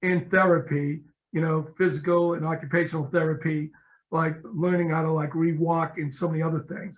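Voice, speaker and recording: Speaking with an American accent, a man keeps a fairly high pitch, a moderate pace and monotone, flat intonation. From Boston, Massachusetts (East Boston). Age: 60s. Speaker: nonprofit executive. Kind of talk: interview.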